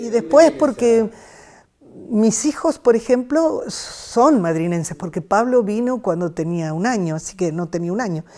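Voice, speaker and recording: Her dark, mellow voice sits at a fairly high pitch for a woman, moving through very wide pitch swings at a fairly slow pace. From Argentina, rural Buenos Aires province. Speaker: retired teacher. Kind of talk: life story interview. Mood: warm, nostalgic, smiling. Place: studio. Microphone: lapel.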